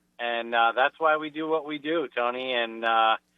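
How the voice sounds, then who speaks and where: Talking at a moderate pace, a man with a Rhode Island accent uses a medium pitch and ordinary pitch variation. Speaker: business sponsor. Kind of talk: casual chat. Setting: phone call.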